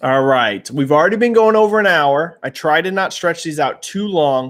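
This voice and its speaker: Delivered at a moderate pace with ordinary pitch variation, a plain, everyday voice comes through on a very clean recording against a silent background. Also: man. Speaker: gaming industry commentator, livestream host. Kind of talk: live stream chat, answering viewer questions. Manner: casual, many fillers.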